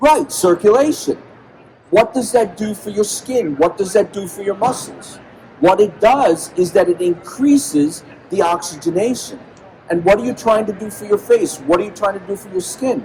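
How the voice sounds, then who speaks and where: Amid noticeable background noise, a man with a high pitch speaks at a moderate pace, his intonation lively and his loudness swinging widely. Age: 60s. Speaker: medical doctor and health speaker. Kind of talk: conference talk to live audience. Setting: stage with audience at convention. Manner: animated, rhetorical questions.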